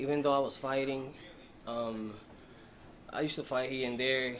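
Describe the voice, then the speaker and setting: A man talks in a Dominican accent. His medium-pitched voice has fairly even intonation. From Dominican Republic (Yamasá, near Santo Domingo). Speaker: professional boxer. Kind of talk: interview. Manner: halting, many fillers.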